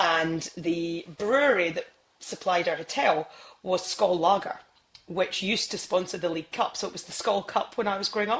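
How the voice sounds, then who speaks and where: In a Scottish accent, a woman speaks at a moderate pace with a medium pitch and ordinary pitch variation. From Scotland (Isle of Skye, Edinburgh, near Glasgow). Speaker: sports TV presenter. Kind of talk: podcast interview. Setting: podcast recording.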